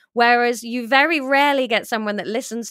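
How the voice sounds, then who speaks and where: A woman's fairly high, bright, sharp voice at a moderate pace, with a dry, close sound with no echo and a very clean recording, silent background. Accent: British. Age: 30s. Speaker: comedian and author. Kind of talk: interview.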